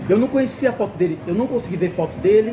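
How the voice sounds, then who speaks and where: Speaking fairly quickly with lively intonation, a man is heard over noticeable background noise. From Brasília, Brazil. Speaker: customer experience consultant and channel host. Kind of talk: travel vlog and interview. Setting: on location in a Lisbon restaurant. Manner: animated.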